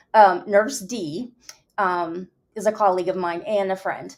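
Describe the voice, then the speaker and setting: A very clean recording with a silent background captures fairly slow speech. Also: woman. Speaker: livestream host and nurse. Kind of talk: casual livestream chat.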